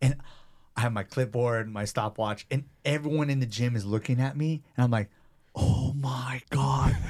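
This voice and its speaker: In a somewhat breathy voice with an animated tone, a man speaks at a moderate pace, medium in pitch with ordinary pitch variation. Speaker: personal trainer and gym owner. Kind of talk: casual interview chat.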